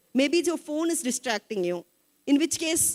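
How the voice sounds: A woman speaks at a moderate pace with lively intonation. The sound is dry and close, with no echo.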